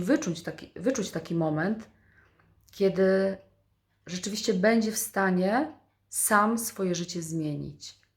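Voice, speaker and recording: A somewhat breathy woman at a very slow pace, ordinary pitch variation, on a very clean recording with a silent background. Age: 40s. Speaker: vlogger. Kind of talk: motivational monologue.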